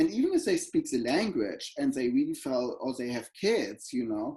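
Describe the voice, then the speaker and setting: A man with a German accent speaks at a moderate pace. His dark, mellow tone moves through very wide pitch swings. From Germany, Berlin. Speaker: professor. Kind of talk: interview. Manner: halting.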